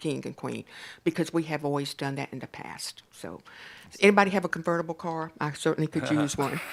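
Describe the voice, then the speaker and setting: A woman speaks very fast in a very deep, low voice with vocal fry and ordinary pitch variation. The recording is very clean with a silent background. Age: 70s. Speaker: community nonprofit director. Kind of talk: presentation at a city council meeting. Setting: council chamber. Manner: casual, chatty.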